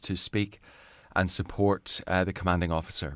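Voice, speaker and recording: A man with a Northern Irish accent speaks in a very deep, low pitch on a very clean recording with a silent background. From Northern Ireland, near Belfast. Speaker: navy chaplain and minister. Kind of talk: interview. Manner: hesitant, with fillers and repetitions.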